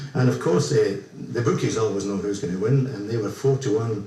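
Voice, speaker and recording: In a Scottish accent, a man speaks at a fairly quick pace with medium pitch and ordinary pitch variation. Noticeable background noise and audible room echo fill the recording. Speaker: ukulele group member. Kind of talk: radio interview.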